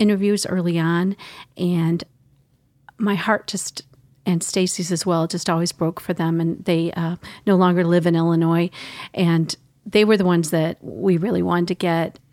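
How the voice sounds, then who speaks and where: A woman with a fairly low pitch uses an ordinary speaking voice, speaking at a moderate pace with fairly even intonation. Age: 50s. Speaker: newspaper reporter. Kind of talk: casual interview chat.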